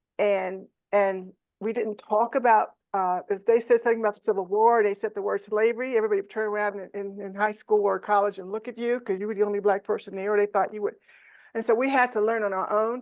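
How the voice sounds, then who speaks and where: A woman speaks very fast in a medium pitch, her intonation monotone and flat, against a quiet background. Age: 70s. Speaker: educator. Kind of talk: personal storytelling in a conversation. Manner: halting, with many fillers and restarts.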